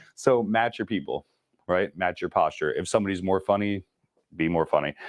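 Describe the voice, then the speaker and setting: A man talks at a fairly quick pace in a very deep, low voice. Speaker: real estate sales trainer. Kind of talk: training class. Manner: fast; animated.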